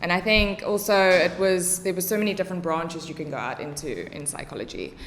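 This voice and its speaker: This woman speaks with a South African accent at a medium pitch. Her pace is moderate and her pitch variation ordinary. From South Africa, Cape Town northern suburbs. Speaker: English teacher and special education tutor. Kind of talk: casual podcast interview.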